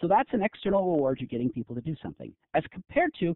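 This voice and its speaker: A man's high voice at a fairly quick pace, full of lively intonation. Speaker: professor. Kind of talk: lecture. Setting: online conference webinar. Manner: fast.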